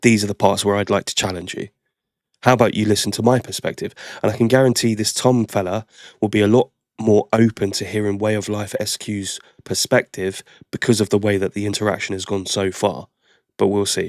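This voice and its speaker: With an English accent, a man talks at a fairly quick pace in a fairly low, monotone, flat voice, the sound dry and close with no echo. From England. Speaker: reaction video host. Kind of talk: reaction commentary.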